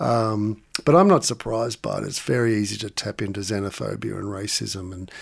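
With an Australian accent, a man speaks at a fairly quick pace in a fairly low pitch, on a very clean recording with a silent background. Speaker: author and lecturer. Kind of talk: interview conversation.

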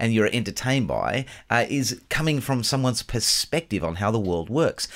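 This man talks at a fairly quick pace with vocal fry and very wide pitch swings. The recording is very clean, the background silent. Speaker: scriptwriter and co-host. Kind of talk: casual banter.

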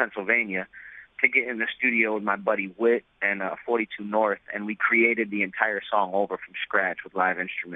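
A man with an American accent talks at a fairly low pitch. His intonation stays fairly even. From New York City. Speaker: rapper. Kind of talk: interview.

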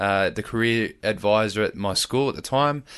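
A man is speaking at medium pitch. The background is quiet. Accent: Australian. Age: 20s. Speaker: firefighter and lifeguard. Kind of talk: casual interview.

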